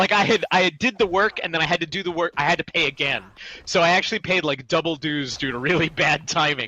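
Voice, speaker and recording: At a fairly quick pace, a man speaks in a high pitch, dry and close with no echo, over noticeable background noise. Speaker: voice actor and writer. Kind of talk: casual interview chat.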